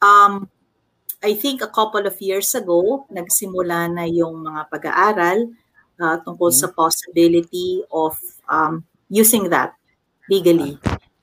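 A fairly low-pitched woman's voice, bright and sharp in tone, fairly slow, with ordinary pitch variation. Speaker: corporate public relations officer. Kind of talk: casual panel discussion.

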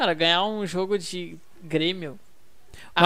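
A woman's voice at a medium pitch. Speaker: football podcast host. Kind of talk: casual chat. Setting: at home.

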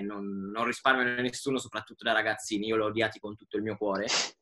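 A man talks in a medium pitch. Noticeable background noise runs behind him. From Italy. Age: 20s. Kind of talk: casual chat.

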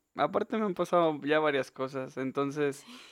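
A man with a fairly high pitch talks with a Mexican accent. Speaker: podcast co-host, university student. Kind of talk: casual chat.

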